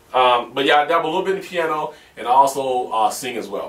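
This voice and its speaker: Audible room echo colors this recording. A man speaks through it at a fairly quick pace. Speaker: gaming video host. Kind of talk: Q&A vlog answering viewer questions.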